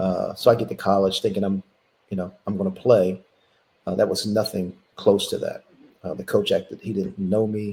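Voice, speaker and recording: A man talks with an American accent. His pace is fairly quick. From Philadelphia, US. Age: 60s. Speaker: former college basketball player. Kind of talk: interview.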